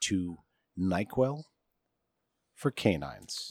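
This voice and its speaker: The man's American accent comes through with very wide pitch swings, in a dry, close sound with no echo. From US Midwest (Michigan). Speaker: tech podcast co-host. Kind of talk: casual chat. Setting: outdoors by a pool.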